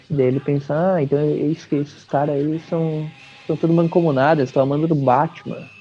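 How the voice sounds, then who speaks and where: With music in the background, a man speaks at a fairly quick pace in a fairly high, flat, monotone voice. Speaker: comic book podcast host. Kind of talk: casual chat.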